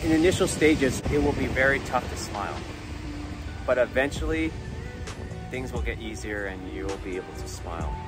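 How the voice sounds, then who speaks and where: A man at a moderate pace with long, frequent pauses, dry with no echo, over clear music in the background. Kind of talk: casual vlog chat. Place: beach. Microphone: phone near.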